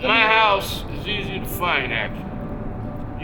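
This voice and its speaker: A man speaks at a high pitch with music in the background. Audible room echo surrounds his voice. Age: 50s. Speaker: homeless tunnel dweller. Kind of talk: casual interview. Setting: in a train tunnel.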